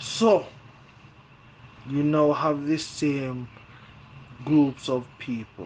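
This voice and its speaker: A man's fairly high-pitched voice, very slow, with ordinary pitch variation and long, frequent pauses, over noticeable background noise. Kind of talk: podcast monologue.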